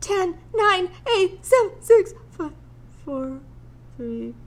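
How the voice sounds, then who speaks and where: In a put-on character voice, a woman speaks at an extremely high pitch. Her pace is very slow. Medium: read story.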